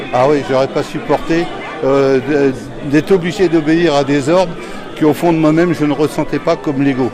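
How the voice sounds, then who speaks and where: Against music in the background, a man with a fairly high pitch talks at a moderate pace, his loudness very even. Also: fairly even intonation. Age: 70s. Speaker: retired police officer and union activist. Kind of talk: interview answer.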